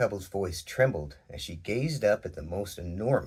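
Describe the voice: Lively intonation in plain reading aloud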